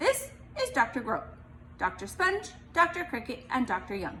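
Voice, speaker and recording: Put-on character voice from a woman, extremely high in pitch with very wide pitch swings, at a moderate pace amid clear background noise. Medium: read story. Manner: brisk, clinical.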